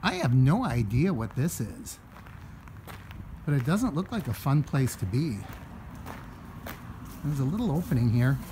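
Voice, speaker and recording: A man at a moderate pace with very wide pitch swings, long, frequent pauses and light background noise. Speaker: travel vlogger. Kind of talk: casual vlog chat. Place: street. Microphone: phone near.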